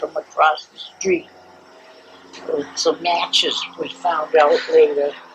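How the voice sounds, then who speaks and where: A woman talks very slowly while noticeable background noise plays behind her. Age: 90s. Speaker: family elder interviewee. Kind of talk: oral history interview. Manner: halting.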